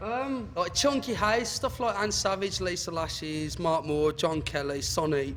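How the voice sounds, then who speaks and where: With a strong Birmingham accent, a man speaks at a high pitch and a fairly slow pace. His intonation is lively, and he leaves hardly any pauses. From Birmingham, English Midlands. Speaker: club DJ. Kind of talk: interview.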